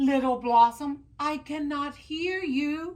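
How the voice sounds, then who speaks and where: A woman uses a put-on character voice, high in pitch. She speaks very slowly with fairly even intonation. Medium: read story.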